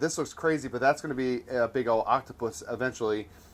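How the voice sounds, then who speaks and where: Talking at a fairly quick pace, a man keeps a fairly high pitch and fairly even intonation. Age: 30s. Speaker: podcast host and Lego builder. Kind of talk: casual chat. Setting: parents' basement. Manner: halting.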